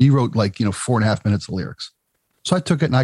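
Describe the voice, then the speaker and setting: A somewhat breathy man speaks with an American accent. The recording is very clean with a silent background, dry and close with no echo. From Baltimore, Maryland. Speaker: former rock radio producer. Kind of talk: casual chat.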